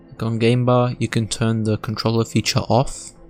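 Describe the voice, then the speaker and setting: With music playing in the background, a man talks at a medium pitch. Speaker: tech tutorial creator. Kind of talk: screen-recorded tutorial narration.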